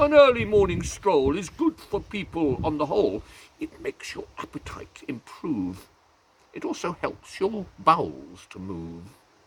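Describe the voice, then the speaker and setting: A man doing a put-on character voice at a moderate pace. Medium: read story. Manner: fussy, blustering.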